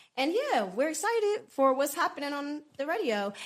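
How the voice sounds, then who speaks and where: This woman keeps a moderate pace while noticeable background noise fills the recording. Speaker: radio and podcast co-host. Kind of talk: radio show segment wrap-up.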